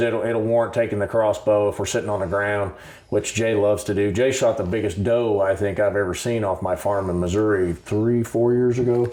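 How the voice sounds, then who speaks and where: Speaking at a fairly quick pace with hardly any pauses, a man with a normal speaking voice holds a fairly low pitch and ordinary pitch variation. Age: 60s. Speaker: outdoors show host, hunter. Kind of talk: casual chat.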